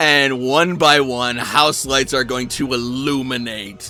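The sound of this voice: Fairly even intonation shapes an unforced reading voice.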